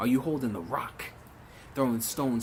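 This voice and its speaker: A man talks at a medium pitch. Noticeable background noise can be heard behind him. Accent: American. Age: 20s. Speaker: spoken word poet. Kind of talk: spoken word poetry performance.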